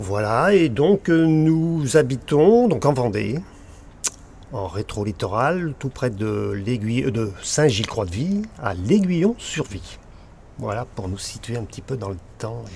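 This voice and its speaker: Speaking very slowly, a man with a medium pitch and a somewhat breathy voice makes very wide pitch swings and big swings in loudness. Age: 60s. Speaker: land and beach artist. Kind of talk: casual chat.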